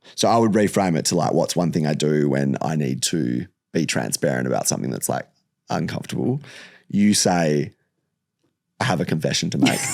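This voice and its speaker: With vocal fry and a very deep, low pitch, a man speaks at a fairly quick pace. His intonation is lively, broken by long, frequent pauses. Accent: Australian. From Perth, Western Australia. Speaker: host's partner. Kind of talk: casual chat. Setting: studio. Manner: loud.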